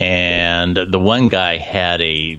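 The speaker is a man. His voice is very deep, sitting low in pitch. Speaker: co-host. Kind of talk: casual chat.

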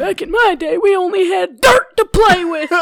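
Moderate pace and an extremely high pitch in a put-on character voice. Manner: nostalgic, reminiscing.

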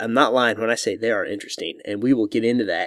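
The voice carries an American accent in a dry, close sound with no echo, on a very clean recording with a silent background. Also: man. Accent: Southern-tinged Midwest, hillbilly-like. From Missouri. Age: 40s. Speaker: podcast host. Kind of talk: casual interview chat.

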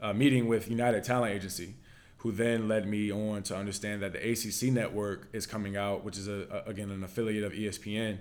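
In an ordinary speaking voice with an American accent, a man talks at a fairly quick pace with a fairly low pitch and fairly even intonation. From Virginia, US. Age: 20s. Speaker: former NFL quarterback, college football analyst. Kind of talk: casual chat.

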